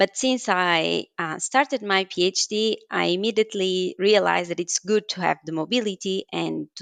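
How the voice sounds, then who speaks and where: A woman with a Portuguese accent talks at a medium pitch and a moderate pace, with ordinary pitch variation. The sound is dry and close with no echo, and there are hardly any pauses. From Portugal, Porto. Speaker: scientist. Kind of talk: interview.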